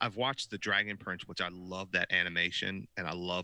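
A man speaks with a very deep, low voice and a bright, sharp tone, his intonation fairly even. The sound is dry and close with no echo, in a very clean recording over a silent background. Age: middle-aged. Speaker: podcast co-host. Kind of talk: casual chat.

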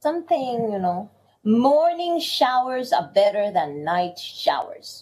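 A woman speaks at a very slow pace in a high voice. Her pitch makes very wide swings. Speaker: podcast co-host. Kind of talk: casual chat. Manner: energetic, animated.

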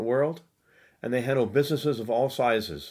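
With an American accent, a man talks in a normal speaking voice at a medium pitch with ordinary pitch variation. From United States. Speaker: podcast host. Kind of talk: interview.

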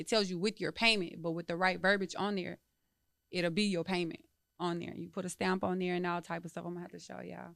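A woman speaks very fast in a fairly low pitch with monotone, flat intonation. Her loudness swings widely, on a very clean recording with a silent background. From Texas, Dallas. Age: 30s. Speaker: entrepreneur and landlord. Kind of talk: casual interview.

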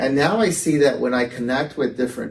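With an American accent, a man talks at a fairly quick pace in a somewhat breathy voice. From Texas. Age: 40s. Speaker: artist and gallery owner. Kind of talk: casual interview chat. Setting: in-person studio recording with hosts.

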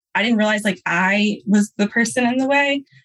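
A somewhat breathy woman's voice, medium in pitch, with ordinary pitch variation and a moderate pace. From Louisiana. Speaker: registered nurse turned podcast manager. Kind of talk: interview. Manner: casual, filler-heavy.

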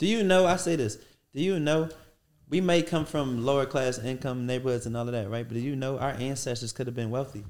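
Fairly quick male speech in a medium pitch. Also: ordinary pitch variation. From Philadelphia (West Philly). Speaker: restaurant entrepreneur. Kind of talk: interview, casual chat.

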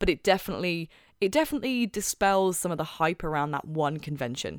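In a very clean recording with a silent background and a dry, close sound with no echo, a woman with a British accent speaks very fast in an animated tone with lively intonation. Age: 20s. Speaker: podcast host. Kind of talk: casual chat. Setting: home recording.

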